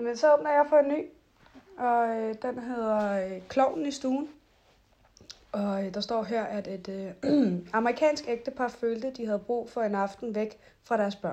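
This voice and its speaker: A woman's calm, dark, mellow voice, fairly high in pitch, with ordinary pitch variation at a fairly slow pace. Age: 20s. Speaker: podcast host. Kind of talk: casual chat; reading aloud.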